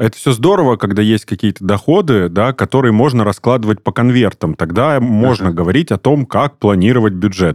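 A man speaks in a plain, everyday voice at a medium pitch, moving at a fairly quick pace with hardly any pauses, lively intonation and very even loudness, the sound dry and close with no echo. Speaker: podcast host. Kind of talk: interview about personal finance.

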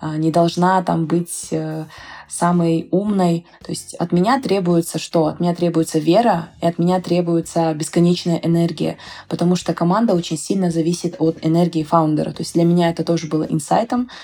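At a moderate pace, a woman talks in a fairly low pitch with a dark, mellow tone and fairly even intonation. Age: 20s. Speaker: startup founder. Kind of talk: interview.

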